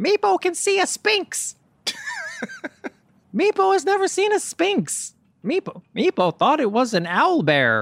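Extremely high and fairly slow, a put-on character voice broken by long, frequent pauses.

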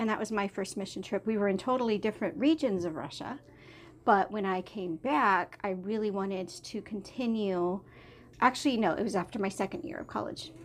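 Her intonation is lively, with a medium pitch. The woman is heard against a quiet background. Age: 30s. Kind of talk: casual chat. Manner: animated.

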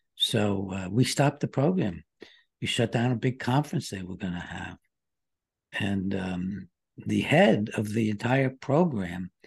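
A man with an American accent talks in a somewhat breathy voice, his pitch moving in a normal way. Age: 80s+. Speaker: psychiatrist. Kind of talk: interview.

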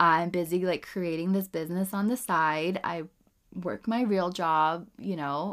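An unremarkable speaking voice at a fairly slow pace with ordinary pitch variation, on a very clean recording with a silent background. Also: woman, fairly low pitch for a woman. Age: 30s. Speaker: podcast host, mother. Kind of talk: casual monologue. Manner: casual, filler-heavy speech; laughs often.

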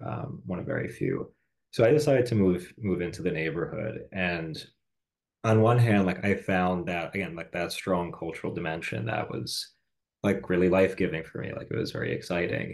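The speaker has an American accent and vocal fry, moving at a fairly quick pace. The pitch swings very widely. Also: man, quiet background. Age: 30s. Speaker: podcast host. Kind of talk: casual chat.

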